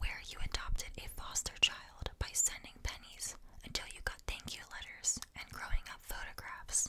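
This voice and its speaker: The speaker whispers with hardly any pauses. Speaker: ASMR storyteller. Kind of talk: reading aloud. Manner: whispered; slow.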